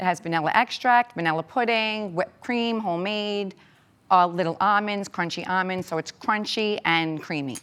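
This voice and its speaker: A woman with a New York accent talks at a moderate pace and medium pitch, her pitch varying in an ordinary way. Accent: Staten Island. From New York, Staten Island. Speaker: home cook, social media creator, contestant; social media creator. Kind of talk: TV interview. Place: studio. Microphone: lapel.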